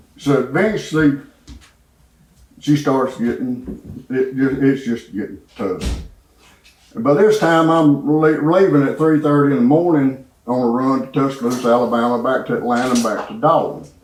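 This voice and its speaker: With a Southern US accent, a man speaks at a moderate pace and a fairly high pitch. His pitch varies in an ordinary way, and audible room echo surrounds his voice. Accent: Southern US (Georgia). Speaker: church member giving testimony. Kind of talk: testimony.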